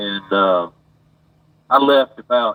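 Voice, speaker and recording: A man with an Alabama accent. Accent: US Southern (Alabama). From Alabama, Montgomery. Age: 60s. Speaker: caller, former deputy sheriff. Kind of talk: phone call-in conversation.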